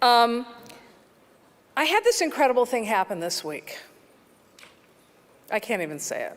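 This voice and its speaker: A woman's high pitch with very wide pitch swings, a moderate pace and long, frequent pauses, over noticeable background noise. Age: 60s. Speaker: film composer, award honoree. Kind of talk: award acceptance speech. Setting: stage with audience. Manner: halting.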